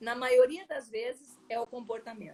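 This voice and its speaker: A woman speaks with lively intonation. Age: 60s. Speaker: personal development coach. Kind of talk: interview.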